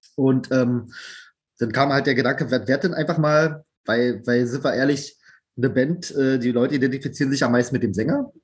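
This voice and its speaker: A somewhat breathy male voice at medium pitch, with ordinary pitch variation. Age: 30s. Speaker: band drummer and educator. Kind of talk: casual chat.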